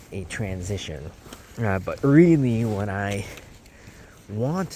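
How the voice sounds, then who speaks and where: Very slow in pace, a man speaks in a fairly low pitch with lively intonation. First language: not English. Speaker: podcast host. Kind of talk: casual monologue. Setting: outdoors. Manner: halting.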